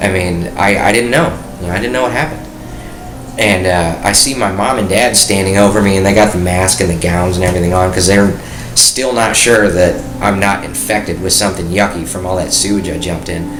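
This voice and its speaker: A man with an American accent speaks with a very deep, low pitch. Audible room echo and noticeable background noise surround him. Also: ordinary pitch variation, fairly quick pace. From US Midwest, Detroit area. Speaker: war veteran. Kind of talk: interview, personal testimony.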